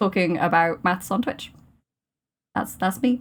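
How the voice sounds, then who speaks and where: Someone with a Welsh accent talks at a fairly quick pace with ordinary pitch variation. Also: woman. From Wales. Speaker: podcast co-host, maths PhD student. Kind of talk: casual chat.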